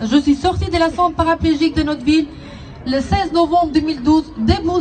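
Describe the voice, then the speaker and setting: Against crowd noise in the background, a woman speaks at a moderate pace with ordinary pitch variation. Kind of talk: prepared public testimony.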